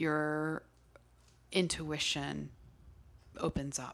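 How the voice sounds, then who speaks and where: On a very clean recording, silent background, a woman's voice is heard. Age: 40s. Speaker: podcast co-host, witchcraft practitioner. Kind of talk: casual chat.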